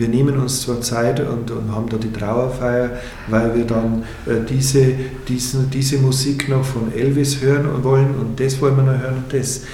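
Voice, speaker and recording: A man talks at a fairly slow pace, medium in pitch and monotone, flat in intonation. There's audible room echo and noticeable background noise. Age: 50s. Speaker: bereavement counselor, former priest. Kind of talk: interview. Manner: halting.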